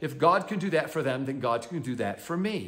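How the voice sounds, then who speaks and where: Lively intonation colors the man's speech over a quiet background. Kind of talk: devotional teaching talk. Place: home room. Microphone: phone near.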